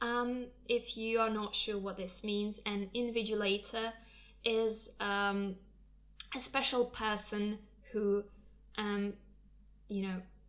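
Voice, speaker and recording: A woman with a Russian accent speaks at a fairly high pitch in a flat monotone. Her pace is very slow, broken by long, frequent pauses. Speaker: English teacher. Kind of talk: livestream talk. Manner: hesitant, many fillers.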